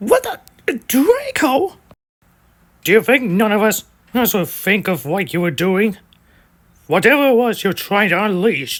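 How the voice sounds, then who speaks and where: A put-on character voice, fairly high in pitch, broken by long, frequent pauses. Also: moderate pace. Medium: audio drama. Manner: brash, excitable.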